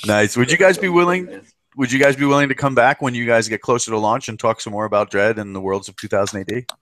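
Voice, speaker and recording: Speaking very fast with an American accent, a man uses lively intonation and big swings in loudness at a medium pitch. The sound is dry and close with no echo. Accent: American accent, remarked on by British guest. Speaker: podcast host. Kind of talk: casual chat.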